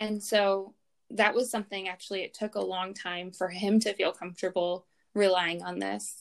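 A woman speaks in an unremarkable speaking voice at medium pitch, with fairly even intonation and a moderate pace. The recording is very clean, with a silent background. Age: 30s. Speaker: fertility awareness educator and schoolteacher. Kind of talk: casual interview.

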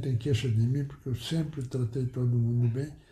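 A man talks with a dark, mellow tone. His voice is somewhat breathy. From Rio Grande do Sul, Brazil. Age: 90s. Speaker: retired tailor and former local politician. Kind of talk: oral history interview. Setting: at his home. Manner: halting.

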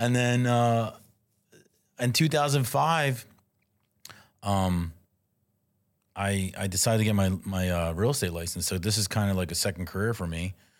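Lively intonation and a Philadelphia accent come at a moderate pace, with long, frequent pauses. The recording is very clean, with a silent background. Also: man, fairly low pitch for a man. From US, South Philadelphia. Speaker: real estate agent, former restaurant owner. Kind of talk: casual chat.

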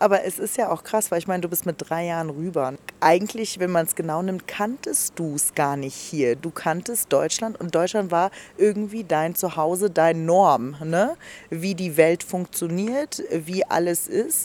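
A woman speaks in a normal speaking voice, fairly low in pitch. Her pitch varies in an ordinary way, and her pace is fairly slow. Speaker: radio podcast host. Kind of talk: casual interview. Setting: restaurant garden.

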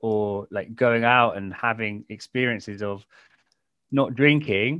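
A man speaks with an English accent. His pitch variation is ordinary. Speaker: podcast host, sobriety coach. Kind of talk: podcast interview.

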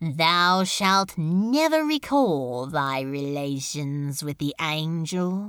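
A put-on character voice at a middle pitch, very slow in pace yet with hardly any pauses. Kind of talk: archaic formal. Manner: commanding, ominous.

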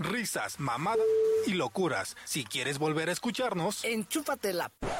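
A man with very wide pitch swings, music in the background. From Mexico City. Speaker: radio host. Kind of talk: casual chat. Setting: studio. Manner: animated.

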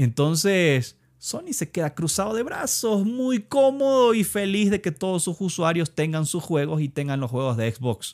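In a very clean recording with a silent background and a dry, close sound with no echo, a man with a high pitch talks at a fairly slow pace with very wide pitch swings. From Ecuador. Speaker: video game podcaster. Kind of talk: solo podcast commentary. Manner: halting, many fillers and repetitions.

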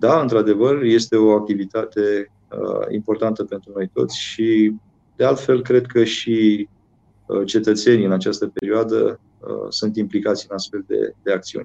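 Fairly slow and fairly even in intonation, a man speaks at a fairly low pitch in a dark, mellow tone. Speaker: mayor. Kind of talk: interview.

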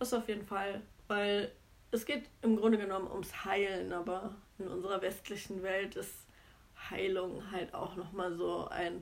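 Pausing long and often, a woman speaks at a fairly slow pace and a medium pitch. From Germany, Cologne. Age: 30s. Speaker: podcast co-host, nurse. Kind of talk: casual chat.

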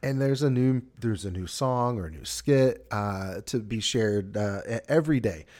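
With a Southern US accent, a man talks at a moderate pace and medium pitch, using ordinary pitch variation and big swings in loudness, on a very clean recording with a silent background. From US South. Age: 40s. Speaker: podcast host. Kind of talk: casual chat. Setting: studio.

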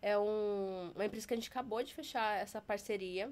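A woman talks with an ordinary speaking voice at medium pitch. She keeps a moderate pace and fairly even intonation. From Taubaté, São Paulo state, Brazil. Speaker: sign language educator. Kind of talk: interview.

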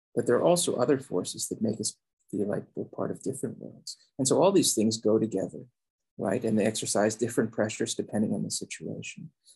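Talking at a very fast pace, a man with a medium-pitched voice sounds somewhat breathy, with a dark, mellow tone and ordinary pitch variation. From Philippines. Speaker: sociology professor. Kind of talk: interview. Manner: halting.

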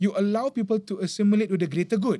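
Speaking with a Malaysian accent at a fairly quick pace, a man has a high pitch, a dark, mellow tone and ordinary pitch variation. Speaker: religious teacher. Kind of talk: religious talk in casual podcast interview. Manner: laughs often.

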